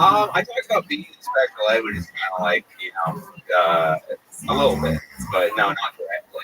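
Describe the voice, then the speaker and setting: A man's fairly quick speech with big swings in loudness, dry and close with no echo, over noticeable background noise. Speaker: comedian. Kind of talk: casual interview. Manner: halting.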